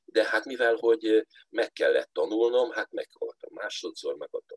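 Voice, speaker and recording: A man's voice with a dry, close sound and no echo. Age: 60s. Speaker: folk musician and space scientist. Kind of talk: interview.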